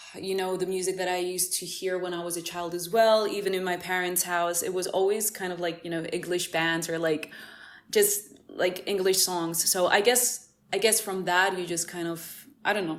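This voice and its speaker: In a Greek accent, a woman speaks at a medium pitch and a moderate pace with monotone, flat intonation. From Cyprus. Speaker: musician. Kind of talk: casual interview. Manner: halting.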